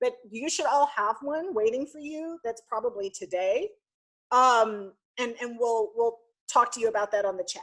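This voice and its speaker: With a normal speaking voice, a woman speaks at a fairly high pitch and a moderate pace, showing ordinary pitch variation and big swings in loudness on a very clean recording with a silent background. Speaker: university student programs director. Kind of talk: orientation presentation.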